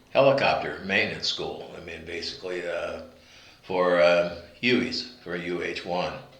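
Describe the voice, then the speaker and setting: Over noticeable background noise and audible room echo, a man with an American accent talks at a fairly slow pace, his loudness swinging widely. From US Pacific Northwest, Seattle. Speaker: war veteran. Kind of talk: interview testimony. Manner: halting, many fillers.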